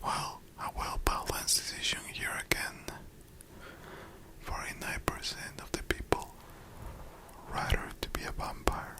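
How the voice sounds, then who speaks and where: Whispering, a man speaks at a fairly slow pace with long, frequent pauses. Noticeable background noise runs underneath. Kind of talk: ASMR whispered let's-play game. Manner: whispered, close, cozy.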